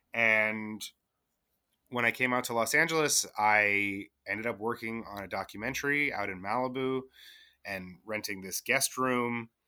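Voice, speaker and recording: The pace is moderate. It is a normal speaking voice, and its pitch rises and falls in an ordinary way. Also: man, medium pitch for a man. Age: 40s. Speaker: writer and bartender. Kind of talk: casual chat.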